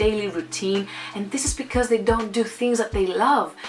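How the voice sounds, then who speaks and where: A woman with a Greek accent, fairly high pitch and ordinary pitch variation against noticeable background noise. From Greece. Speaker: motivational vlogger. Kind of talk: motivational vlog monologue. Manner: animated.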